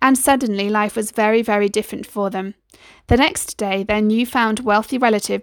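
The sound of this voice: Here we hear an unforced reading voice.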